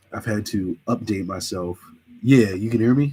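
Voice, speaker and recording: Somewhat breathy speech with ordinary pitch variation. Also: man. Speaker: livestreamer, hip-hop commentator. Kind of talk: casual livestream chat. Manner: casual.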